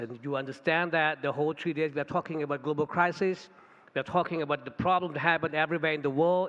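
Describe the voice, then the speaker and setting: With a Thai accent, a man speaks at a fairly high pitch using fairly even intonation. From Thailand. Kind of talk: conference talk. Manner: halting.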